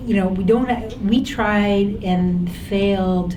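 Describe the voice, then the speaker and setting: Flat, monotone intonation comes through noticeable background noise and audible room echo. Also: woman. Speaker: former government health policy official. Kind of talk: panel Q&A discussion.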